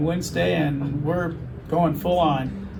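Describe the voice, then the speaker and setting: A man's fairly high voice at a very slow pace, with audible room echo and noticeable background noise. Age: 70s. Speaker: patient, general contractor. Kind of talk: interview testimony.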